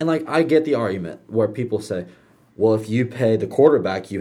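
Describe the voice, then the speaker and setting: With a dark, mellow tone and a medium pitch, a man speaks at a moderate pace using lively intonation. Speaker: sports podcast host. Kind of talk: heated rant about paying college athletes, passionate opinion monologue. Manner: impassioned, forceful and emphatic, pressing a firm opinion.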